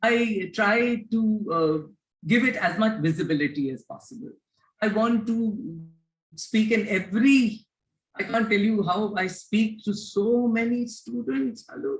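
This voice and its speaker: Somewhat breathy delivery at a fairly slow pace, lively intonation, and long, frequent pauses. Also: woman, fairly high pitch for a woman. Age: 60s. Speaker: education reformer. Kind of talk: interview.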